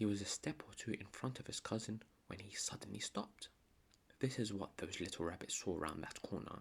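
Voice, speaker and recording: Someone whispers in a calm tone at a moderate pace. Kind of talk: bedtime story reading. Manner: soft-spoken, calm.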